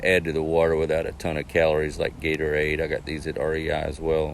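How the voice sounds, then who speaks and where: The man's pitch is very deep and low, and his intonation is monotone and flat. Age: 60s. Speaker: novice hiker sharing gear lessons. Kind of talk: casual gear review talk. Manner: hesitant, many fillers.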